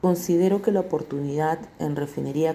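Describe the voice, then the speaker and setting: This woman has a very deep, low pitch and a dark, mellow tone, with ordinary pitch variation. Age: 40s. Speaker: corrosion engineer. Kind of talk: testimony. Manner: measured, with frequent hesitations.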